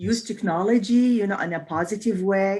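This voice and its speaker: A woman speaks in an Arabic accent at a medium pitch and a moderate pace. Her pitch varies in an ordinary way. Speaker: professor of Arabic and Qur'anic studies. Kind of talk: casual conversation.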